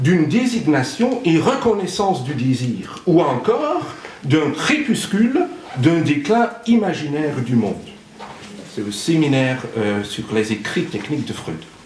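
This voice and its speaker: Amid noticeable background noise and audible room echo, a man's fairly high voice swings very widely in pitch. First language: not French (speaking French). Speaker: psychoanalyst speaker at a conference. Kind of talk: conference talk. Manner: halting, with many hesitations.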